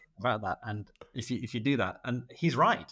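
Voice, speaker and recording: A man with a Mancunian accent speaks at a fairly quick pace on a very clean recording with a silent background. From Manchester, England. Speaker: radiologist. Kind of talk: casual interview.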